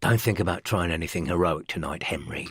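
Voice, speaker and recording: In a put-on character voice, the speaker sounds raspy and hissing, talking at a very fast pace with ordinary pitch variation. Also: man, very deep, low pitch for a man. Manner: hissing, threatening, spoken close to the ear.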